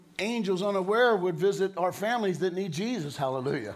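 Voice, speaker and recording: A man with a high pitch talks at a moderate pace with ordinary pitch variation. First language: English (speaking German). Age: 60s. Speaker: preacher. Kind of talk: sermon.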